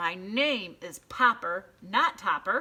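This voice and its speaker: In a put-on character voice that sounds female, someone growls and shouts at a very slow pace, with a medium pitch for a woman. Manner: shouting.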